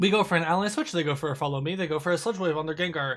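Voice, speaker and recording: A man talks at a very fast pace in a high pitch. The recording is very clean, with a silent background. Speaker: gaming video creator. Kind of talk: gameplay commentary. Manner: casual with fillers.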